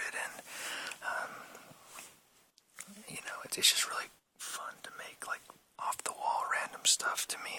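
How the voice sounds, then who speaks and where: Someone whispers at a fairly slow pace. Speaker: ASMR creator. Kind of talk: whispered show and tell. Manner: whispered.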